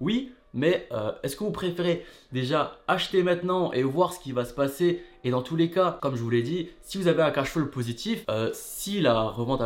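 Lively intonation runs through this man's speech. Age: 20s. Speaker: real estate investing YouTuber. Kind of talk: casual video monologue. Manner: casual, relaxed.

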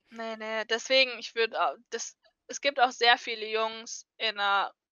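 With a normal speaking voice, a woman talks at a fairly slow pace in a fairly high pitch with fairly even intonation. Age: 20s. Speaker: cosplayer. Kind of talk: casual chat.

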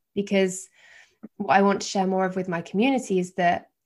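Here a woman has a plain, everyday voice at a medium pitch. She moves at a fairly quick pace on a very clean recording with a silent background. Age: 30s. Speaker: yoga teacher and life coach. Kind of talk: casual interview chat.

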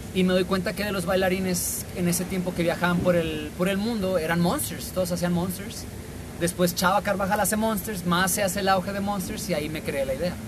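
Fairly even intonation at a fairly quick pace, with audible room echo and noticeable background noise. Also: man, high pitch for a man. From Mexico, La Paz, Baja California Sur. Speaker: dancer. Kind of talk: casual chat. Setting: in person at a café.

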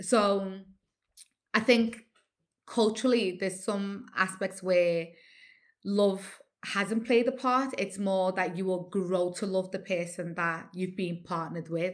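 Speaking very slowly in a Liverpool accent, a woman keeps a medium pitch and fairly even intonation in a very clean recording with a silent background. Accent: Scouse (Liverpool). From Liverpool, England (Nigerian heritage). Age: 40s. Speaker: radio host. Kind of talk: casual interview chat.

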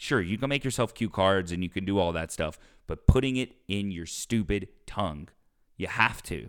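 In a very clean recording with a silent background, a man with an American accent uses an unremarkable speaking voice, speaking at a moderate pace with lively intonation. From US South. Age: 20s. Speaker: podcast host and opera singer. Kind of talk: casual chat.

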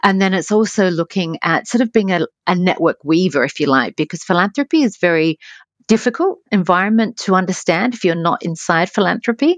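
Lively intonation from a woman with an Australian accent at a fairly quick pace, in a dry, close sound with no echo. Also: medium pitch for a woman. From Australia, Adelaide. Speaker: foundation CEO. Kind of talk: interview.

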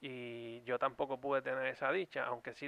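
Recorded with a dry, close sound and no echo, a man with an ordinary speaking voice talks at a medium pitch and moderate pace. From Puerto Rico. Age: 30s. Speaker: YouTube podcast co-host. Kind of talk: casual chat.

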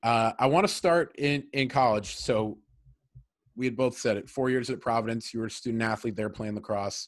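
Over a quiet background, a man with an American accent and an ordinary speaking voice talks at a moderate pace, medium pitch and ordinary pitch variation. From Massachusetts. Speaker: podcast host. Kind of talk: casual interview.

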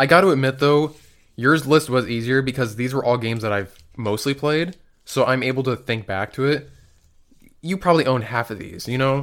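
A man with an unremarkable speaking voice, at a medium pitch with ordinary pitch variation and a moderate pace, on a very clean recording with a silent background. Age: 20s. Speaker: video game podcast co-host. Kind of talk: casual chat.

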